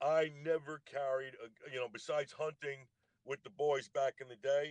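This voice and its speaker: Fairly high male speech, flat and monotone throughout. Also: moderate pace, dry, close sound with no echo. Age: 60s. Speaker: army veteran, livestream guest. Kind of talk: casual debate on a livestream. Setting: TikTok live stream.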